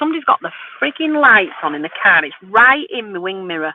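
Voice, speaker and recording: A woman with a West Yorkshire accent speaks with very wide pitch swings. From northern England, Wakefield, West Yorkshire. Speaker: vintage reseller and live streamer. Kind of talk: casual live stream chat with viewers. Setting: in a car at night, phone live stream.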